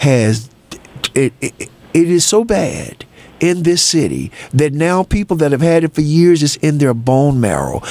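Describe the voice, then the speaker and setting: Over noticeable background noise, a man speaks at a fairly slow pace. His fairly high voice has lively intonation. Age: 70s. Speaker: radio talk show host. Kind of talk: call-in talk radio. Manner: animated.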